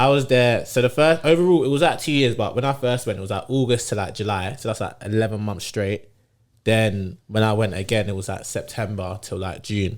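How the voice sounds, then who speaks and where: A man with a London accent at a fairly quick pace, medium in pitch, on a very clean recording with a silent background. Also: ordinary pitch variation. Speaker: podcast guest. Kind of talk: casual chat.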